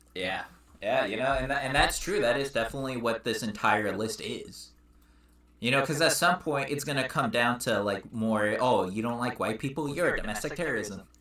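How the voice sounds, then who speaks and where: Lively intonation from a man at a medium pitch and a fairly quick pace. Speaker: political podcast co-host. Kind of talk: casual chat. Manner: halting, stumbles over words.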